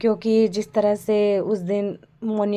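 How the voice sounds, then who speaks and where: Dark and mellow in tone, the woman's voice rests at a medium pitch. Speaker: vlogger. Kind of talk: travel vlog narration.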